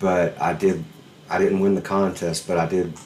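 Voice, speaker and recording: This speaker has a Southern US accent and talks at a moderate pace. The pitch varies in an ordinary way. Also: man. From Alabama, US South. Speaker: podcast host, musician. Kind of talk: casual chat. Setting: video call.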